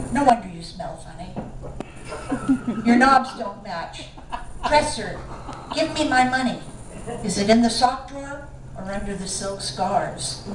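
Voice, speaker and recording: Over noticeable background noise, a woman speaks at a fairly slow pace with long, frequent pauses. Her fairly high pitch carries lively intonation, and her loudness swings widely. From San Francisco. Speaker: poet. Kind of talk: poetry reading. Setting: live bookstore reading.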